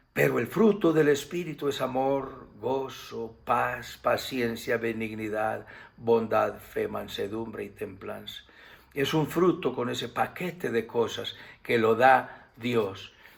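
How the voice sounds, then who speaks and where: A man speaks at a very slow pace in a medium pitch. His voice carries vocal fry and ordinary pitch variation. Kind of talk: sermon / Bible teaching to camera. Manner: warm, affectionate.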